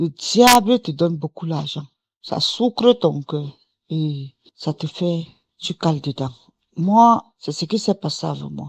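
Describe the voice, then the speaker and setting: A woman at a fairly low pitch, very slow yet lively in intonation, with a dry, close sound and no echo. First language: English (speaking French). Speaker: testimony giver. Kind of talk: testimony. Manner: casual, code-switching.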